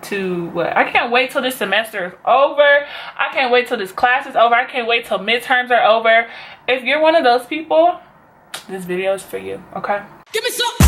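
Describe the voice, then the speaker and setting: With a fairly quick pace and lively intonation, a woman talks in a high-pitched voice over noticeable background noise. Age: 20s. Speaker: beauty vlogger and college student. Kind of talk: casual talk to camera.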